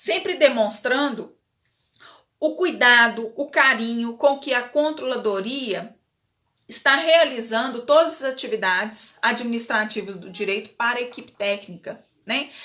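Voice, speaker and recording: A woman with a strong northern Minas Gerais accent speaks high-pitched at a fairly slow pace, with lively intonation and big swings in loudness. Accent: strong mineiro accent from northern Minas. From northern Minas Gerais, Brazil (Bocaiúva). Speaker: legal management consultant. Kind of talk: live webinar talk. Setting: online live stream. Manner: casual, with many fillers and repetitions.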